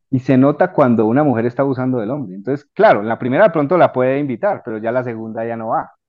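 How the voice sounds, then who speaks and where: Delivered at a very fast pace with hardly any pauses, the speech shows ordinary pitch variation. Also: man, medium pitch for a man. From Colombia. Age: 40s. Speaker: civil engineer and personal development coach. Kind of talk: casual interview chat. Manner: halting.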